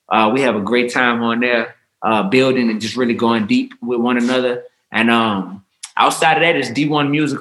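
This man speaks with an American accent at a medium pitch. His pace is moderate. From New Orleans, Louisiana. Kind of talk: casual chat. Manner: animated.

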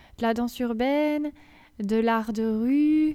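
On a very clean recording with a silent background, a woman's voice sits fairly high in pitch with a dark, mellow tone. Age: 30s. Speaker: dancer, choreographer and doctor. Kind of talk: casual interview. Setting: dance school room during classes.

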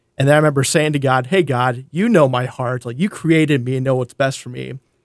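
A man with a fairly high voice speaks at a very fast pace. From North Dakota. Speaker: campus ministry worker. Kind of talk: interview testimony.

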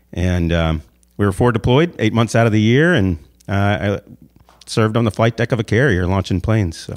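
An American man with an ordinary speaking voice speaks at a moderate pace and fairly low pitch. His intonation is lively, and the recording is very clean with a silent background. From US South, Savannah, Georgia. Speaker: motivational speaker and author, navy veteran. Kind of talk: interview.

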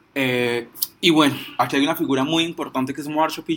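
The speaker is a man. Ordinary pitch variation runs through his voice. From Colombia, Pereira area. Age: 20s. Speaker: activist and law student. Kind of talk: informal talk. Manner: halting.

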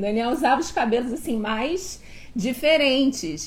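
A woman's fairly high voice with lively intonation and audible room echo. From Niterói, Rio de Janeiro, Brazil. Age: 40s. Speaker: host's wife. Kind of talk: casual chat.

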